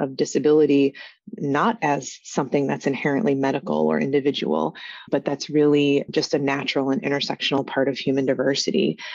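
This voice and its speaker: A woman with a very deep, low pitch and vocal fry. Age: 40s. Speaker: university researcher and professor. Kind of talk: academic interview discussion.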